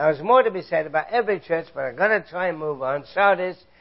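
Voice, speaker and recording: This man speaks with an English accent and ordinary pitch variation. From England, London area. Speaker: Bible teacher. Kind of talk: sermon.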